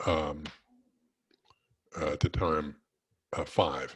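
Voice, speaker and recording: A man talks with a very deep, low pitch and a somewhat breathy sound. His pace is very slow. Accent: American. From California. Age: 70s. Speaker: retired virology professor. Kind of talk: casual talk to a club. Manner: halting, many fillers.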